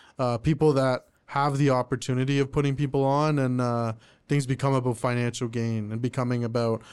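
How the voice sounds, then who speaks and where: Against a quiet background, a man with an Ontario accent speaks fairly quickly at a medium pitch with monotone, flat intonation. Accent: Canadian English (Ontario). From Oshawa, Ontario, Canada. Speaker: rapper and singer-songwriter. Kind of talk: casual interview chat.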